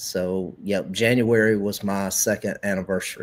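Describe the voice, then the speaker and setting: A man with a Southern US accent, fairly low in pitch, with monotone, flat intonation. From Carolinas, US South. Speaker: pen maker. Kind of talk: casual chat. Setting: live stream.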